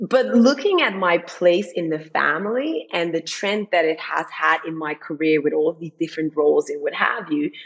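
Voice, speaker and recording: Background noise is noticeable as a woman talks at a moderate pace with hardly any pauses. Her pitch is fairly low, and her intonation is lively. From Netherlands, Amsterdam (born Dutch Caribbean). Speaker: tech business leader. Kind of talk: interview conversation. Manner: loud; animated.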